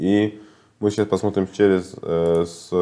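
The man's pitch is very deep and low, with a dark, mellow tone. His intonation is fairly even. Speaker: market analyst. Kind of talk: market analysis video. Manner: halting, with filler sounds. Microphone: webcam.

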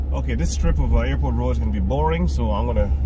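A man speaks at a moderate speed against loud background noise. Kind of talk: casual vlog chat. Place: car. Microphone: phone near.

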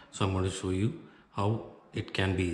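Somewhat breathy, a man speaks at a moderate pace with audible room echo around him. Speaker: craft tutorial presenter. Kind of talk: tutorial. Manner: instructional, explaining step by step. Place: home room.

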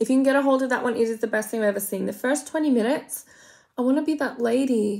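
Against a quiet background, a woman with an Australian accent speaks very fast at a high pitch with fairly even intonation. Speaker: makeup vlogger. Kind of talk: casual makeup tutorial with comedic commentary. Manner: chatty, rambling. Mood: playful, self-mocking. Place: home room. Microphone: phone near.

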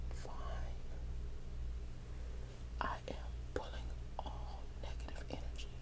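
Speaking at a very slow pace, a woman leaves long, frequent pauses. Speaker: ASMR creator. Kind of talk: ASMR whisper for sleep. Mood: calm, caring. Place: home room. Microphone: earbuds.

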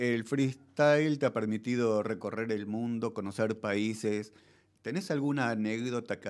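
A man's ordinary speaking voice at medium pitch, fairly slow in pace, with fairly even intonation and a quiet background. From Argentina. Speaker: radio host. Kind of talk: radio interview. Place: studio. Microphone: studio mic.

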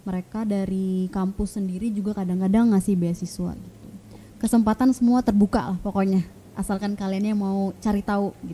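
A woman's somewhat breathy, dark, mellow voice at a medium pitch, with fairly even intonation and a fairly quick pace. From Balikpapan, East Kalimantan, Indonesia; East Kalimantan, Indonesia. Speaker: vocational school teacher. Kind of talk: casual interview. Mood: friendly, relaxed. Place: studio. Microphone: studio mic.

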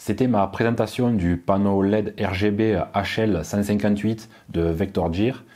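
A man's dark, mellow tone with ordinary pitch variation against a quiet background. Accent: southern French. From southern France. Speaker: tech YouTuber. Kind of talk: product review. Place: home room. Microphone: lapel.

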